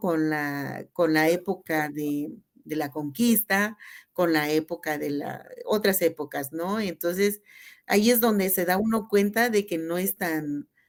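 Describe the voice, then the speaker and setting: A woman speaks at a very slow pace in a fairly low pitch. Her pitch variation is ordinary. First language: Tzeltal (speaking Spanish). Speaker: teacher and cultural promoter. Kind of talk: radio interview.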